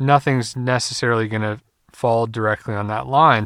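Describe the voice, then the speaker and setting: The recording is very clean, with a silent background and a dry, close sound free of echo. A man with an unremarkable speaking voice talks at a moderate pace and medium pitch, his intonation fairly even. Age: 30s. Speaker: podcast host, car sales and service advisor. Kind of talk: solo podcast monologue.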